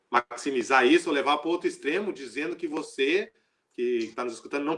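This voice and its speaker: Here a man speaks with lively intonation and a fairly high pitch. His pace is moderate. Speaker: missionary. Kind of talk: religious teaching in a live stream. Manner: halting.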